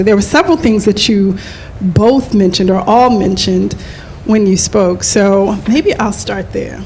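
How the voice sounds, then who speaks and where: A woman with an American accent at medium pitch, moderate pace and ordinary pitch variation, with noticeable background noise. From United States. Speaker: panel moderator. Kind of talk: panel discussion moderation. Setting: live event with in-room and online audience.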